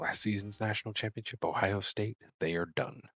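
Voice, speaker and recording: Music plays in the background as the speaker talks at a fairly quick pace with fairly even intonation, the sound dry and close with no echo. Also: man. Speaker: gaming streamer. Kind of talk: live gameplay commentary. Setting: at home at night, others asleep.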